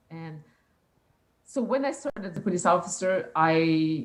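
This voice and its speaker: The speaker has a French accent. The intonation is lively. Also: woman. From rural Quebec. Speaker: police youth engagement officer. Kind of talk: interview. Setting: live internet broadcast. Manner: halting.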